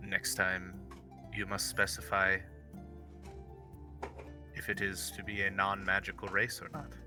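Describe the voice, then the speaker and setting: Doing a gruff, put-on character voice, a man speaks very deep and low at a moderate pace with long, frequent pauses over clear music in the background. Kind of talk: formal, precise.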